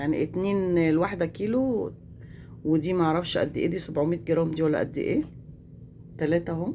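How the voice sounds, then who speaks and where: Speaking at a fairly slow pace, a woman has a fairly low pitch, a dark, mellow tone and ordinary pitch variation. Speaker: vlogger. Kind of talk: casual vlog chat.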